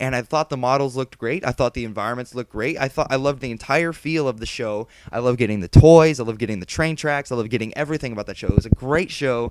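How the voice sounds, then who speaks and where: A man at a very fast pace with an animated tone and hardly any pauses, in a dry, close sound with no echo, with noticeable background noise. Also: medium pitch for a man, ordinary pitch variation. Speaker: vlogger. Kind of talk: casual vlog monologue.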